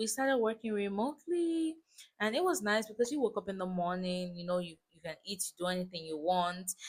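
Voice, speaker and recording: A woman talks fairly quickly at medium pitch, with lively intonation and an animated tone. Her voice is somewhat breathy and her loudness swings widely. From West Africa (Nigeria, Liberia, Gambia). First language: French. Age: 20s. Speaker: vlogger, tech startup founder. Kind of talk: casual personal story vlog. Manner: chatty, animated.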